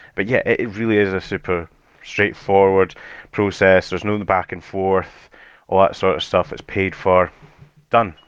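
A man speaks with a slight Edinburgh accent, his pitch fairly low. He keeps a moderate pace and fairly even intonation. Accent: mild Edinburgh Scottish. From Scotland, Edinburgh. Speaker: tool hire company manager. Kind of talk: podcast interview. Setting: studio.

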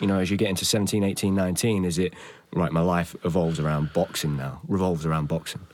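A man with an East Midlands accent talks at a very fast pace in a very deep, low voice. The recording is very clean, with a silent background. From Nottingham, England. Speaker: podcast host. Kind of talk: interview.

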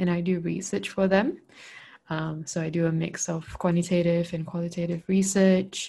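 A woman's somewhat breathy voice moves at a moderate pace with fairly even intonation. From Malaysia. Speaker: podcast co-host. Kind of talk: casual chat.

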